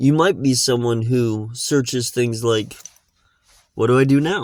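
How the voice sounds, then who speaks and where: Dry and close with no echo, a man talks at a fairly slow pace and a medium pitch. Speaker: podcast host. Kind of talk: unscripted personal podcast monologue. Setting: inside a car. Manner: slow, reflective, with pauses.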